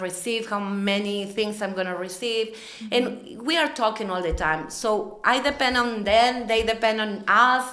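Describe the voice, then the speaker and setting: With noticeable background noise behind her, a woman speaks in a non-native accent at a moderate pace, her fairly high voice showing ordinary pitch variation. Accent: non-native English speaker. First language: not English. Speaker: materials supervisor at a food packaging company. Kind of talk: podcast interview answer. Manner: bright, positive.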